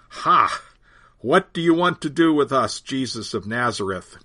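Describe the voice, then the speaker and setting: A man does a put-on character voice, growling at a fairly high pitch. He talks at a moderate pace. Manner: snarling; mocking, hostile.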